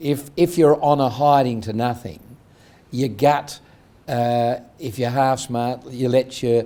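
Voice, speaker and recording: A man at medium pitch with an Australian accent, very slow in pace, with ordinary pitch variation and a dark, mellow tone, in a very clean recording with a silent background. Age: 70s. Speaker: entrepreneur. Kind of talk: interview.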